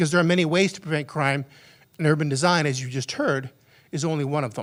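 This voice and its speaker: The pitch of this man's voice is fairly high. He speaks at a very fast pace. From northern Canada. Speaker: criminologist and former police officer. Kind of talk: conference lecture. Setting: conference hall with audience. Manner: fast when excited.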